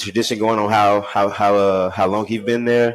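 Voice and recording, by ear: His fairly low voice moves along at a moderate pace.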